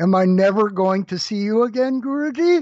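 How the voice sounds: Using a put-on character voice, a man speaks high in pitch with lively intonation.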